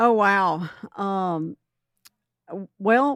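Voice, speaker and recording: A woman in a strong Southern US accent, with a medium pitch and ordinary pitch variation. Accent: thick Southern US. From US South. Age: 60s. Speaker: home inspector. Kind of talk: interview.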